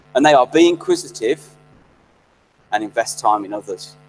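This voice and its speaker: Music plays in the background. Over it, a man speaks at a moderate pace. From Birmingham, English Midlands. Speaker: graduation guest speaker. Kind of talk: speech.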